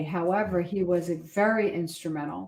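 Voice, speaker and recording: In a normal speaking voice, a woman talks at medium pitch with ordinary pitch variation. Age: 60s. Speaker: wedding officiant. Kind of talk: interview.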